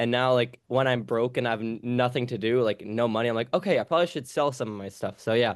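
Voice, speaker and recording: With a New York accent, a man speaks at a very fast pace with ordinary pitch variation against a quiet background. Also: medium pitch for a man, hardly any pauses. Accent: New York American. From New York City. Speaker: language teacher. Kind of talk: casual chat.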